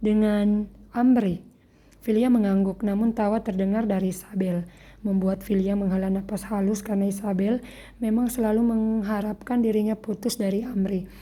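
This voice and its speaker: The voice is somewhat breathy and monotone, with flat intonation, moving at a moderate pace. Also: woman. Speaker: writer reading own story. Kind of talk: reading aloud. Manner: halting.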